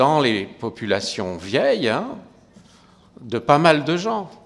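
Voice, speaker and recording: Speaking very slowly, a man is heard with audible room echo. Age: 60s. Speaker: geriatrician. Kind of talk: conference talk. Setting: lecture hall with audience. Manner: conversational, hesitant.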